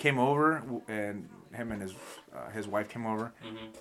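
Lively intonation marks an ordinary speaking voice moving at a moderate pace. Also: man. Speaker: podcast host. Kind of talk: casual banter. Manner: joking, profane.

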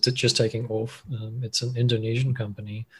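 Somewhat breathy, a man talks at a moderate pace and medium pitch. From South Africa, Cape Town. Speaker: machine learning engineer. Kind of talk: interview. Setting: call.

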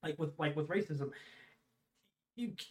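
Ordinary pitch variation in a man's fairly high voice. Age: 20s. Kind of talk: casual chat. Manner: halting.

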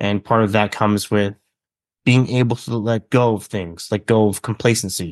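Recorded with a dry, close sound with no echo and a quiet background, a man with a plain, everyday voice talks at a moderate pace, fairly low in pitch and fairly even in intonation. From Canada, British Columbia small town. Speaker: author. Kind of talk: casual interview chat. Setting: video call.

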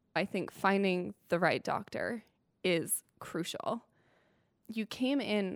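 Very slowly, a woman speaks with medium pitch, ordinary pitch variation and vocal fry, in a very clean recording with a silent background and a dry, close sound with no echo. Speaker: cancer patient, former college student. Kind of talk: conversational interview. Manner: laughs often.

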